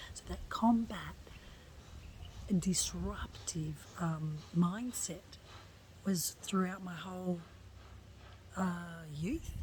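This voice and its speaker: With an Australian accent, a woman talks at a fairly low pitch and a very slow pace, pausing long and often. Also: ordinary pitch variation. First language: Italian. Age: 50s. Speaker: lifestyle blogger. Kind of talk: personal testimony monologue. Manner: animated.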